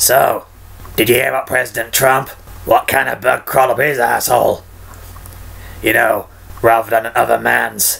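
A man's put-on character voice, raspy and gravelly, medium in pitch, at a moderate pace with long, frequent pauses over light background noise.

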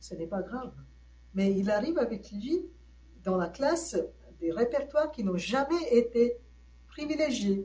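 A woman with a high pitch and a dark, mellow tone speaks at a very slow pace with lively intonation and long, frequent pauses. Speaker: professor. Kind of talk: lecture.

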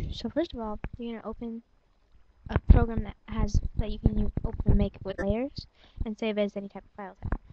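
A woman mumbles at a fairly quick pace, her pitch fairly high and her intonation fairly even. Her loudness swings widely. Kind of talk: screen-recording software tutorial. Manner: mumbly, hesitant.

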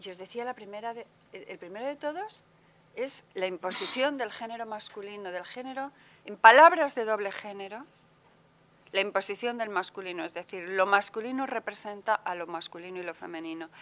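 A bright, sharp tone at a fairly quick pace. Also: woman, medium pitch for a woman, ordinary pitch variation.

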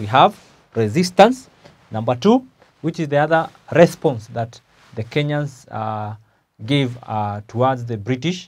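A man's speech moves at a moderate speed. Long pauses come often. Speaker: teacher. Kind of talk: lecture. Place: classroom.

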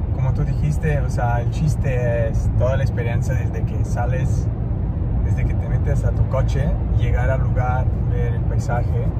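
A man speaks at a fairly slow pace over loud background noise, his voice dry with no echo. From Italy. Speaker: vlogger's partner. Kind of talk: casual chat. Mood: relaxed, appreciative. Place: car. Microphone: phone near.

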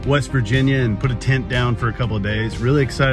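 Clear music plays in the background as a man talks at a very fast pace. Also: dry sound with no echo. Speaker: delivery gig driver vlogger. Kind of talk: casual vlog chat. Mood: upbeat, excited. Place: car. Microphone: phone near.

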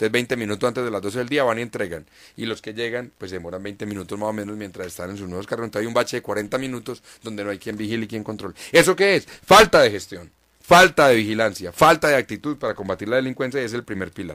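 This man talks at a very fast pace in a fairly low pitch with ordinary pitch variation. His tone is bright and sharp, and his loudness swings widely. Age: 30s. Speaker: mayoral candidate and journalist. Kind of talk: radio interview.

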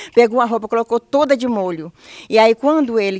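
Against a quiet background, a woman speaks with a fairly high pitch and ordinary pitch variation in a dry sound with no echo. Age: old. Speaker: mother of missing man. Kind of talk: testimony. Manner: halting. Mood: worried, pleading. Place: garden. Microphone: handheld.

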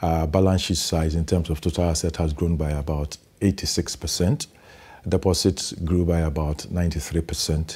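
A man speaks fairly slowly in a very deep, low voice that is somewhat breathy, with monotone, flat intonation. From Ghana. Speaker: bank executive. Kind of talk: interview. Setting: studio. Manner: halting. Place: studio. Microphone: lapel.

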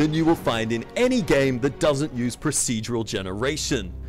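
Music plays in the background as a man talks with an Australian accent. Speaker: tech company CEO. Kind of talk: tech demo narration.

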